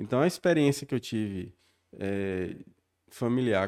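A dark, mellow tone at a moderate pace, with ordinary pitch variation, in a very clean recording with a silent background. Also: man. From Bahia, Brazil (southern Bahia). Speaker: local politician. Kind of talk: casual interview.

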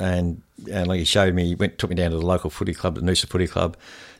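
A man with an Australian accent talks in a very clean recording over a silent background. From Hamilton, Victoria, Australia. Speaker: football coach and fitness trainer. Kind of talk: interview. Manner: halting, many fillers.

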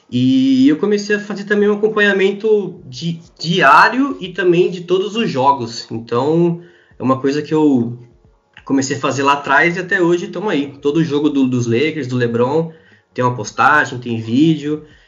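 At a moderate pace, a man with an ordinary speaking voice talks in lively intonation. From Brazil, interior of São Paulo state. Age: 20s. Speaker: sports fan page administrator. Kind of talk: casual chat.

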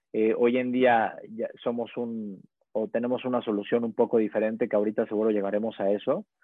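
A man talks fairly quickly at a medium pitch, his intonation monotone and flat. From Mexico, Puebla. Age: 20s. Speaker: startup founder and CEO. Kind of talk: casual interview. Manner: halting, many repeated words.

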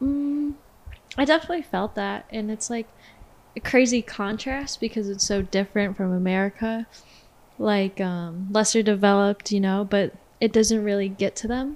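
This is a normal speaking voice from a woman at medium pitch. She keeps a moderate pace with ordinary pitch variation. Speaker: student club officer. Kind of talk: casual chat.

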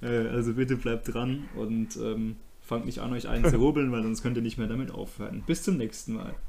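The voice has a dark, mellow tone and fairly even intonation, moving at a moderate pace with audible room echo. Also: man, medium pitch for a man. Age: 20s. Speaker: podcast host. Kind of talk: casual chat.

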